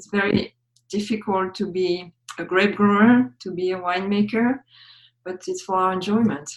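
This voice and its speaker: A woman with a French accent and a medium pitch speaks at a moderate pace. Her intonation is fairly even, with big swings in loudness. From France, Champagne region. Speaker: wine educator. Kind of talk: interview.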